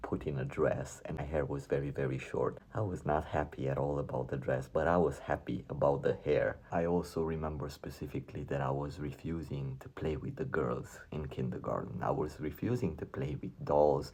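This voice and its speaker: Barely pausing, a man with a very deep, low voice and a dark, mellow tone speaks with vocal fry and fairly even intonation. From Romania, Transylvania. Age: 40s. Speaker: YouTuber sharing personal story. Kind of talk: personal testimony.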